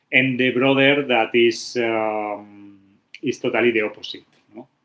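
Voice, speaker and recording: A man with a Spanish accent at a medium pitch, in a bright, sharp tone and monotone, flat intonation, at a fairly slow pace. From Spain. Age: 40s. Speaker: architect, livestream host. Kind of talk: casual livestream talk. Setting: YouTube livestream. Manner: halting, many fillers.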